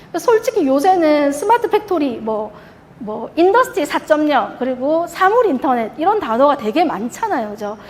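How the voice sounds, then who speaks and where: A woman's high voice with very wide pitch swings at a moderate pace, over noticeable background noise. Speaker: industrial automation product manager presenting. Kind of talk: conference presentation.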